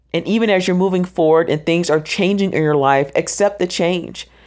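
A woman with an American accent talks at a fairly quick pace. She has an ordinary speaking voice at medium pitch. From US South, Orlando, Florida. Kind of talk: devotional monologue, encouraging talk. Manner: casual, with frequent fillers.

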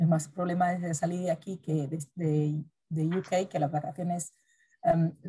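Somewhat breathy and dark, mellow in tone, a woman's voice sits at a fairly low pitch with monotone, flat intonation. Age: 30s. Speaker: podcast co-host. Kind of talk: casual chat.

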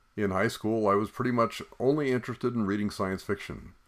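Over a silent background in a very clean recording, a man with a fairly low pitch and a plain, everyday voice speaks with ordinary pitch variation. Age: 60s. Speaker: podcast host. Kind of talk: solo podcast monologue.

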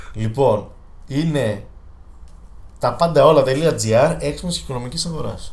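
A man at a fairly slow pace, with long, frequent pauses and audible room echo. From Greece, Thessaloniki. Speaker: podcast co-host. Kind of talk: casual chat. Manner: hesitant fillers.

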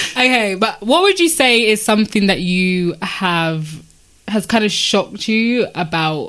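Lively intonation from a woman at a fairly slow pace, with noticeable background noise. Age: 20s. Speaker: podcast host. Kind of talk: casual chat.

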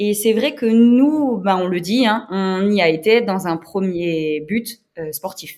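A woman speaks very slowly in a medium pitch. Her intonation is lively. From eastern France, Moselle. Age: 30s. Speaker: amateur adventure racer. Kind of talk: interview. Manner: hesitant, many fillers.

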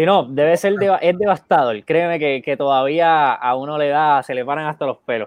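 Here a man uses a plain, everyday voice at a fairly high pitch. He keeps a moderate pace with hardly any pauses and ordinary pitch variation. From Puerto Rico, Bayamón. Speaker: photographer and co-host. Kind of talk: casual chat. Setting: Facebook live stream.

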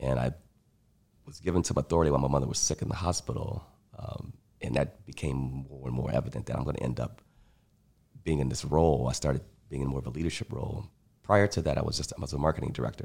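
A man with a very deep, low voice speaks at a very fast pace with ordinary pitch variation, big swings in loudness and long, frequent pauses. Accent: American. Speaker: taproom hospitality staff and artist. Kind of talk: casual chat. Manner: smooth.

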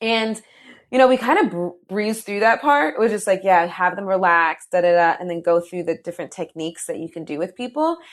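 Talking at a fairly quick pace in an unremarkable speaking voice, a woman uses a medium pitch and lively intonation, with big swings in loudness. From New Jersey. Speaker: meditation studio founder. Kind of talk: guided meditation; interview conversation.

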